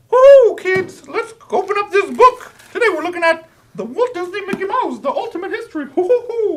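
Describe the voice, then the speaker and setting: An extremely high pitch marks this put-on character voice. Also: moderate pace. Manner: cheerful, giggly.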